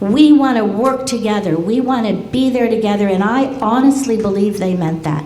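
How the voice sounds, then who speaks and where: Amid noticeable background noise and audible room echo, a woman with a fairly high pitch speaks at a moderate pace with hardly any pauses. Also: ordinary pitch variation. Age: 70s. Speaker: community member speaking at public meeting. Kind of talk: public comment at community meeting. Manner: animated.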